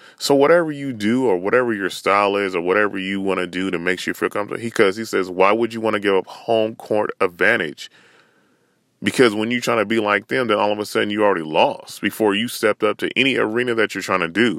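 A man at a very fast pace and fairly low pitch with ordinary pitch variation, on a very clean recording with a silent background and a dry, close sound with no echo. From Northern California. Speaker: podcast host. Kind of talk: solo rant. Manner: casual, filler-heavy with repetitions.

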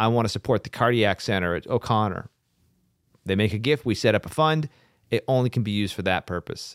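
A man's fairly low voice at a fairly quick clip, ordinary pitch variation, dry close sound without echo, very clean recording over a silent background. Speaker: foundation president. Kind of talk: casual interview. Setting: studio. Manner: talkative, rambling, humorous.

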